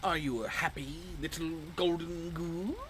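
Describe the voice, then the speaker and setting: A put-on character voice at a middle pitch and moderate pace, with clear background noise. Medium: video game. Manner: cryptic, riddling.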